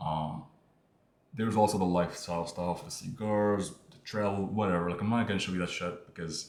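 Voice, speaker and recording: With audible room echo, a man with a very deep, low voice speaks at a fairly quick pace and with fairly even intonation. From Morocco. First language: not English (Moroccan). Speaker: online business creator. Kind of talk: casual talking-head monologue. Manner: casual, hesitant with fillers.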